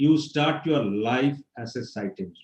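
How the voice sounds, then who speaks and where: A man's fairly high voice comes across as somewhat breathy. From India, Pondicherry. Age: 70s. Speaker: civil engineer, guest speaker. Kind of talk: guest lecture to students.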